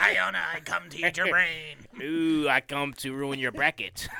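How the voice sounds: Using a put-on character voice at a low-to-middle pitch, the speaker delivers a menacing, playful tone at a moderate pace.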